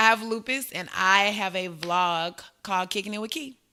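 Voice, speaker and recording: A woman's bright, sharp tone in a Southern accent with ordinary pitch variation, on a very clean recording with a silent background. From Arkansas, US South. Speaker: elementary school teacher. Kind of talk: casual podcast interview.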